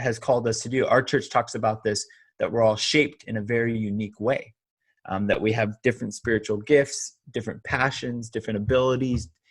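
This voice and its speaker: A somewhat breathy man with a Californian accent in a very clean recording with a silent background. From Southern California. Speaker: online pastor. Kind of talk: interview. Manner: halting.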